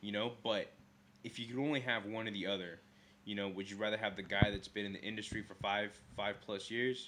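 A man with a normal speaking voice, fairly low in pitch, with fairly even intonation and a fairly quick pace. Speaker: podcast co-host. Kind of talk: casual chat. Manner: rambling, filler words.

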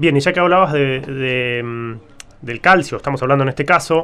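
A man with a Rioplatense accent, fairly high-pitched, at a fairly quick pace. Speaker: podcast co-host. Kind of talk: interview.

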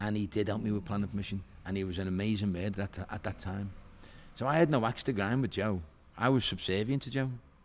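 A man with a Liverpool accent talks at a very fast pace in a fairly low voice with ordinary pitch variation. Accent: Scouse. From Liverpool (Walton), northern England. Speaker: hotelier and property developer. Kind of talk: podcast interview.

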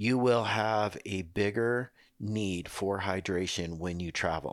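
Against a silent background on a very clean recording, a man speaks in an unremarkable speaking voice with fairly low pitch and ordinary pitch variation. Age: 60s. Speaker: doctor, health expert co-host. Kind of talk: casual chat, explanatory. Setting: studio.

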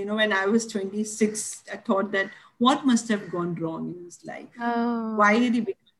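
With a fairly high pitch and a moderate pace, a woman talks while music plays in the background. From India, Mumbai (Dadar). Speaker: storyteller and educator. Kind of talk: interview.

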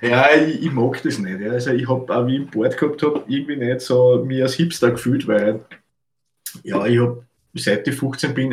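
A man speaks with medium pitch and fairly even intonation, in an Austrian accent. His voice is somewhat breathy. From Austria, Lower Austria (Melk). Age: 30s. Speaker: photographer, podcast co-host. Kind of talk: casual chat. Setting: video call from his photo studio.

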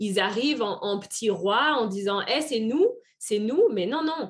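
A woman with an unremarkable speaking voice talks at a fairly slow pace over a quiet background. Her pitch is fairly high and her intonation lively. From France, Auvergne. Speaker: French teacher and expatriate. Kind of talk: interview.

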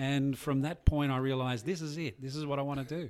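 A man speaks with an Australian accent at a medium pitch and a fairly quick pace. The recording is very clean, with a silent background. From Tamworth, New South Wales, Australia. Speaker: clinical psychologist. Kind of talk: casual interview.

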